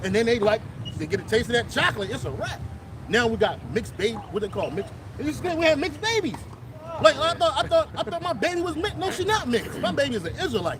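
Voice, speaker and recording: Loud and extremely high-pitched, a man speaks at a very fast pace with very wide pitch swings over crowd noise in the background. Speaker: street preacher. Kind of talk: religious street teaching. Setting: outdoors.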